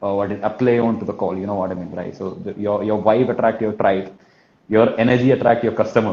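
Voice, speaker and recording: Speaking very fast with a Kerala accent, a man with a fairly low pitch and a dark, mellow tone keeps his intonation monotone and flat. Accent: Malayali. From Kerala, India. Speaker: sales trainer, business owner. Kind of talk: talk on telesales in live interview. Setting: live online session. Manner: fast, repetitive with verbal fillers.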